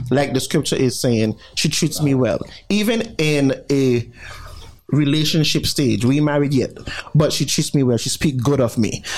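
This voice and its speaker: A man talks in an ordinary speaking voice with a medium pitch. His pace is fairly slow. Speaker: radio co-host. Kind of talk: casual radio banter. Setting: radio studio.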